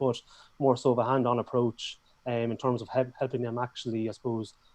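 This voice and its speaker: In a strong Irish accent, a man of medium pitch talks at a very fast pace with a dark, mellow tone. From Ireland. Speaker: business owner, course creator. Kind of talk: casual interview. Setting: YouTube live stream.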